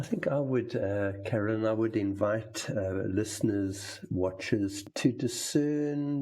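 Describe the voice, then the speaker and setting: Somewhat breathy, a man with a fairly low pitch speaks at a very slow pace with ordinary pitch variation, on a very clean recording with a silent background. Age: 70s. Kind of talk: conversation about faith. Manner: hesitant, with many ums.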